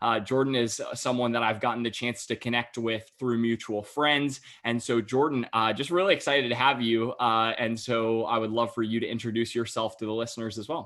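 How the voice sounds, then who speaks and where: A man with an American accent has an unremarkable speaking voice at a medium pitch. He talks at a fairly quick pace with hardly any pauses. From US South, Raleigh area, North Carolina. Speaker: podcast host. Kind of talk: podcast interview.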